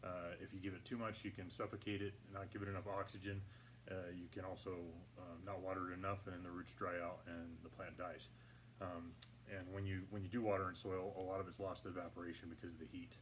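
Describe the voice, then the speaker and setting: A man's very deep, low voice at a fairly quick pace, fairly even in intonation, with audible room echo. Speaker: hydroponics gardening channel host. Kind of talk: tutorial. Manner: halting, many fillers; talking louder than usual. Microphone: poor audio, may sound quiet.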